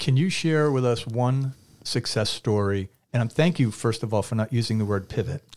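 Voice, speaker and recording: In a very clean recording with a silent background, a man with an American accent speaks at medium pitch with ordinary pitch variation in an unremarkable speaking voice. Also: moderate pace. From Massachusetts (Quincy). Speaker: podcast host. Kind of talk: interview. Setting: studio.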